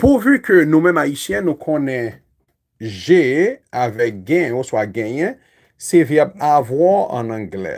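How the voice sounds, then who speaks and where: Against a quiet background, a man speaks at a fairly slow pace with long, frequent pauses. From Haiti. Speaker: English teacher. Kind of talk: lecture. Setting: YouTube livestream. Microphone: phone near.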